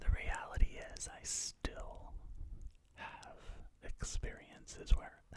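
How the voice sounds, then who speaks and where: A man whispers at a very slow pace. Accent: American. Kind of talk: ASMR talk to camera. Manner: whispered, soft-spoken.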